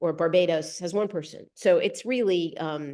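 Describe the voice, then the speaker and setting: Speaking with an American accent over a quiet background, a woman has a fairly low pitch, a dark, mellow tone and fairly even intonation. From United States. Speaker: global health policy researcher. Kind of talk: presentation with slides. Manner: halting, frequent repetitions.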